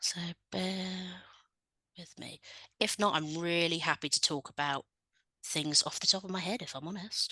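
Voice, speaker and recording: A woman with an English accent speaks in a fairly low voice with a bright, sharp tone and fairly even intonation. Her loudness swings widely, she takes long, frequent pauses, and the sound is dry and close with no echo. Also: moderate pace. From England. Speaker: researcher. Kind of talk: presentation to conference. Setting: video call.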